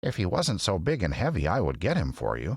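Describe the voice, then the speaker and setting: In a put-on character voice, the speaker moves at a fairly quick pace with very wide pitch swings. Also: man. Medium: read story. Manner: brisk, direct.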